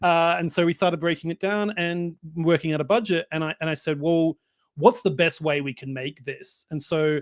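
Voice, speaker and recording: A man with an Australian accent, high pitch and ordinary pitch variation at a moderate pace, in a dry, close sound with no echo on a very clean recording with a silent background. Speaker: filmmaker. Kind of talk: interview.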